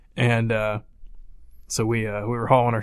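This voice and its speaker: In a South Carolina accent, a man talks with a fairly low pitch and monotone, flat intonation on a very clean recording with a silent background. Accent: Southern US (South Carolina). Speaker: podcast co-host, hunter. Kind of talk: casual chat.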